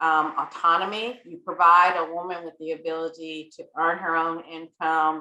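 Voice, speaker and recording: A woman's fairly low, bright, sharp voice at a moderate pace, monotone and flat in intonation, with big swings in loudness. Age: 80s. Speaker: reverend and panel guest. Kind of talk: moderated panel interview. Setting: video call.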